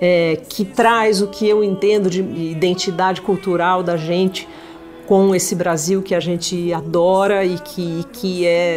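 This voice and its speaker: Faint music sits in the background while a woman speaks at medium pitch with fairly even intonation. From São Paulo. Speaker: singer. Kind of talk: interview answer. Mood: warm, reflective.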